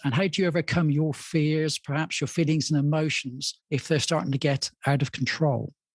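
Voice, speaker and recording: Recorded dry and close with no echo, a man speaks at a moderate pace in a somewhat breathy voice, fairly high in pitch. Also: hardly any pauses, very even loudness. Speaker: podcast host. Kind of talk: podcast interview.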